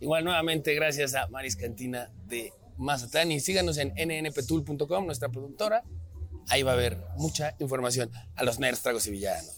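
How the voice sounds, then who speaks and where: Pitch leaps across a very wide range as a man talks at a middling speed over background music. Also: medium pitch for a man. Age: 30s. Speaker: podcast host. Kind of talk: casual chat. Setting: restaurant.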